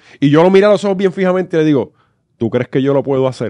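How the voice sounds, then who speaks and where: A man with a Puerto Rican accent speaks at a high pitch with ordinary pitch variation against a quiet background. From Puerto Rico, Corozal; Puerto Rico. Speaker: comedy podcast co-host. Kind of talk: casual chat. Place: studio. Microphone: studio mic.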